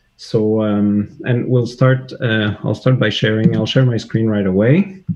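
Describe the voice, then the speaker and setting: The speaker has a slight French Canadian accent. They talk at a fairly slow pace with ordinary pitch variation. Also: man, medium pitch for a man. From Quebec, Canada. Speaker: CAD software user, web developer. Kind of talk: livestream interview. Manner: halting, many fillers.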